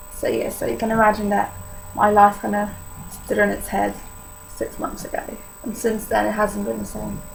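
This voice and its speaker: Long, frequent pauses break up a woman's speech over noticeable background noise. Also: moderate pace. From Poland. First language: Polish. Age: young. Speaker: vlogger sharing illness experience. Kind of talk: personal testimony vlog. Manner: casual, hesitant with many fillers.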